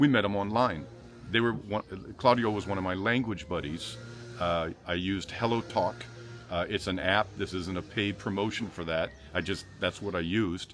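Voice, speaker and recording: With music in the background, a man with an American accent talks at a moderate pace, his fairly low pitch showing ordinary variation. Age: 50s. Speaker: real estate video host. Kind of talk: casual chat. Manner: animated.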